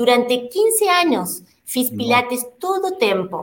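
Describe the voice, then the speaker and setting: At a very slow pace, a woman talks in a high pitch with very wide pitch swings. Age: 50s. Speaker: Pilates instructor and studio owner. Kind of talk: interview.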